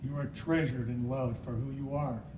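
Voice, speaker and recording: A man talks at a medium pitch with monotone, flat intonation. Noticeable background noise runs under his voice. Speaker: poet. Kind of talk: poetry reading.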